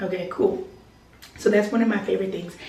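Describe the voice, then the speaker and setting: Over noticeable background noise and audible room echo, a woman speaks in an animated tone at a medium pitch. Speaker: lifestyle vlogger. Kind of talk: casual vlog chat. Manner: loud.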